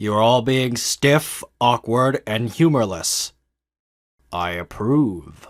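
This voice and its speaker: On a very clean recording with a silent background, a man uses a cartoonish character voice at a medium pitch and a very slow pace. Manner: formal, stern.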